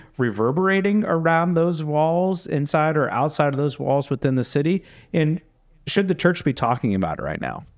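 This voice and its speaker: This man has a normal speaking voice, fairly high in pitch, with lively intonation. He talks at a moderate pace against a quiet background. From Florida. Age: 30s. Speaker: pastor and podcast host. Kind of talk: casual interview.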